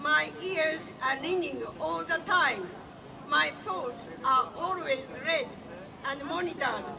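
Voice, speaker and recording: Against crowd noise in the background, a woman projects her high-pitched voice loudly. She speaks at a very slow pace with very wide pitch swings. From Japan. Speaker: activist, event organizer. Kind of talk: speech at a public demonstration. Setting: outdoors.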